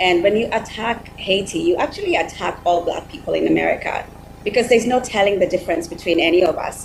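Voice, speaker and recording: A woman's medium-pitched voice at a very fast pace, with ordinary pitch variation and noticeable background noise. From Kenya. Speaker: panelist, supporter of Haiti. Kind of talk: virtual panel discussion. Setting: video call.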